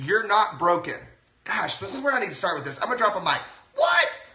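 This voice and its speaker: Loud and fairly quick, the voice carries an American accent and very wide pitch swings, with audible room echo. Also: man. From Texas. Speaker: chiropractor. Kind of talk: live-stream health talk. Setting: live video stream.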